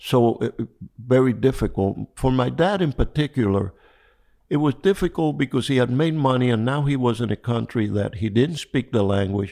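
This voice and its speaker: A man speaks with a Spanish accent at a moderate pace. His intonation is lively. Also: medium pitch for a man. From Cuba. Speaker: fly fishing angler. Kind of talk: interview. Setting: at home. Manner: calm, gentle.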